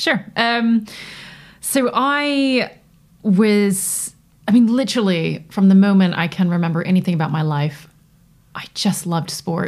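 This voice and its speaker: The speaker has a North American accent and lively intonation, moving at a fairly slow pace with long, frequent pauses. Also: woman, medium pitch for a woman. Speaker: Paralympic athlete. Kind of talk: interview. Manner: animated.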